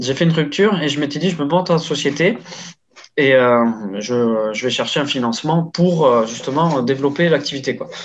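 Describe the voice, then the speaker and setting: A man's fairly high voice shows ordinary pitch variation and moves at a moderate pace. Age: 30s. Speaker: e-commerce entrepreneur, former car dealership manager. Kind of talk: interview testimony. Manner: halting, many fillers and repetitions.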